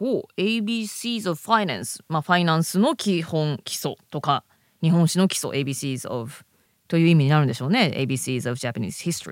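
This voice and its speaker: A woman with a fairly low pitch speaks at a moderate pace with very wide pitch swings on a very clean recording with a silent background. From Japan. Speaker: podcast co-host. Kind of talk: casual chat.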